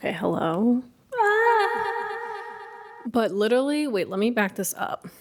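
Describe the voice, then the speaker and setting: A woman speaks with long, frequent pauses. Noticeable background noise runs behind her. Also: fairly slow pace. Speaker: booktuber. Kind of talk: casual vlog. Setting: at home.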